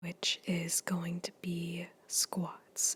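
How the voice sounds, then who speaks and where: A soft-spoken, somewhat breathy voice. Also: woman. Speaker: fitness ASMR creator. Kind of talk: casual talk to camera, workout voiceover. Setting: home gym, recorded on a tablet.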